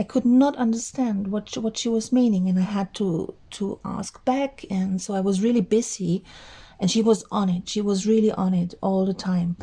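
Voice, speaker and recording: This woman's voice has a dark, mellow tone and is somewhat breathy. Her pitch varies in an ordinary way. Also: medium pitch for a woman, moderate pace. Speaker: crafting YouTuber, artist. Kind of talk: casual vlog monologue. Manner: halting, with fillers.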